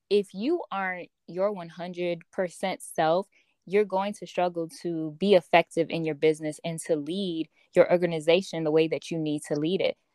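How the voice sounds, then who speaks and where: A woman speaks at a moderate pace with fairly even intonation, the sound dry and close with no echo. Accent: American. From Chicago, Illinois. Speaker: personal development coach and author. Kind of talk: interview conversation.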